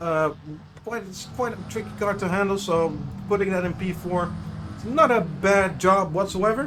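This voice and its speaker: A man's high voice with a Dutch accent, ordinary pitch variation and a moderate pace, with audible room echo and noticeable background noise. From Netherlands. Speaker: sim racing commentator. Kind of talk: live commentary. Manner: halting.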